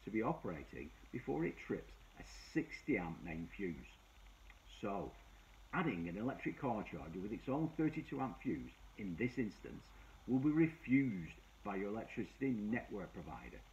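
Long, frequent pauses break up this man's speech. His pace is moderate. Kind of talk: explainer talk to camera. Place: office.

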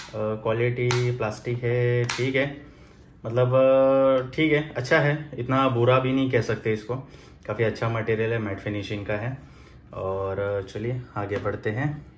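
A man speaks very slowly in a somewhat breathy voice with fairly even intonation. Light background noise and audible room echo are present. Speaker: product reviewer. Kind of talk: unboxing review. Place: home room. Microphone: phone near.

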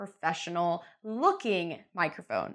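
A woman speaks at a fairly slow pace. Her tone is fairly bright.

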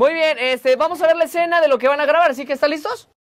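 A man speaks at a fast pace with an extremely high pitch. His pitch varies in an ordinary way.

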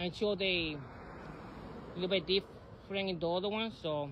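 Fairly even intonation in an American accent, with a dry sound with no echo and light background noise. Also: man. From New York City (South Bronx); New York City. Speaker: vlogger and former local election candidate. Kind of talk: casual vlog monologue. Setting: outdoors. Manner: halting, with many repetitions and fillers.

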